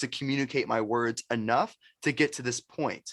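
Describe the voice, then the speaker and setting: A man's voice with a dry, close sound and no echo. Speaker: sales expert and entrepreneur. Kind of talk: podcast interview. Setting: podcast. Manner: high energy.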